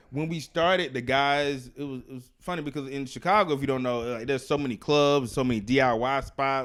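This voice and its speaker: A plain, everyday voice with an American accent moves at a fairly quick pace. The recording is very clean, with a silent background. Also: man. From US South, Alabama. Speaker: stand-up comedian and activist. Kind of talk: casual interview chat.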